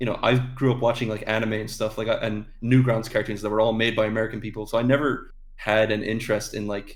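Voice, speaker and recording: A man at a medium pitch, very fast and monotone, with flat intonation and hardly any pauses. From Ireland. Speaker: animator and voice actor. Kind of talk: casual interview chat. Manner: hesitant, many fillers.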